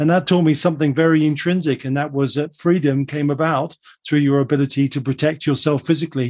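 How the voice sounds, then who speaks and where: Talking at a very fast pace, a man with a southern English accent holds a fairly high pitch and a monotone, flat intonation. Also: quiet background. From England, London then Surrey. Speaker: global forecaster. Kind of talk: radio interview.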